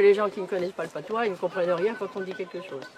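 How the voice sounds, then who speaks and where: A woman's medium-pitched voice over crowd noise in the background. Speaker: local resident, interviewee. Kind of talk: interview. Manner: fast.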